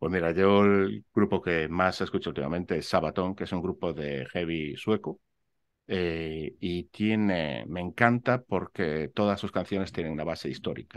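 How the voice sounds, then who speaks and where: Speech comes at a fairly slow pace with ordinary pitch variation. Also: man, very deep, low pitch for a man. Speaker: architect and real estate investor; interview guest. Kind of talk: interview. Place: home room.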